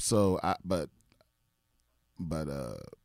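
Vocal fry and ordinary pitch variation in a man's speech. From Maryland, Prince George's County. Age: 30s. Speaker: comedian. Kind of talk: casual chat.

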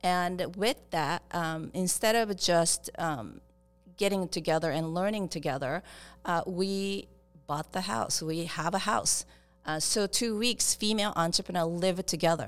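A woman with a Japanese accent at a fairly slow pace. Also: fairly low pitch for a woman, ordinary pitch variation. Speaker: startup accelerator founder. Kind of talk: interview. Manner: halting.

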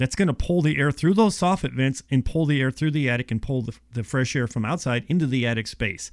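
On a very clean recording with a silent background, a man speaks in a plain, everyday voice at medium pitch and a fairly quick pace, with ordinary pitch variation. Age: 50s. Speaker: insulation contractor. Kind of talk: casual chat.

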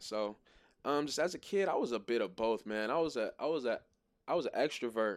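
In a normal speaking voice with an American accent, a man talks at a medium pitch with lively intonation. His pace is fairly quick and the background is quiet. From Maryland, US. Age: 20s. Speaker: music artist. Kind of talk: casual interview.

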